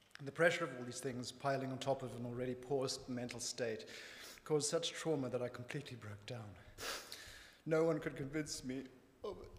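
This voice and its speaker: Speaking with a Zimbabwean accent, a man at medium pitch moves at a fairly quick pace with long, frequent pauses, ordinary pitch variation and big swings in loudness over noticeable background noise. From Zimbabwe, rural north. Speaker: church member. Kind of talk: testimony. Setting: church.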